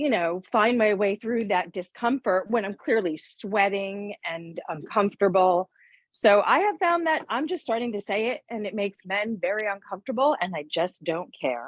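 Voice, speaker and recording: This woman speaks at a moderate pace with lively intonation and hardly any pauses, her pitch in the medium range. The sound is dry and close with no echo, against a quiet background. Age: 50s. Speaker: insurance agent. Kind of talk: casual chat. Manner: loud.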